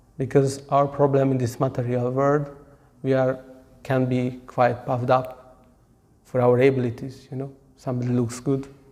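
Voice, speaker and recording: Speaking at a moderate pace, a man has a medium pitch, a dark, mellow tone and monotone, flat intonation. Audible room echo is present. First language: not English; local language of audience not his either. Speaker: Hare Krishna monk and class speaker. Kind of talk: religious lecture on scripture. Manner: halting, hesitant non-native English.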